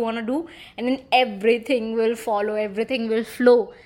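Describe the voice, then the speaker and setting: This woman has a fairly high pitch and an animated tone. She speaks at a moderate pace. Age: 20s. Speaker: podcast host. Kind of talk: casual solo chat.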